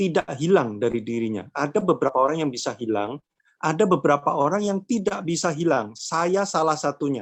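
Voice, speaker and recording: The speaker talks at a fairly quick pace with a Javanese accent. The intonation is lively, and the background is quiet. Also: man. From Java, Indonesia (Madiun, East Java). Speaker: workshop speaker on mental health. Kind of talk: online workshop talk. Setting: online event. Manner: casual, conversational.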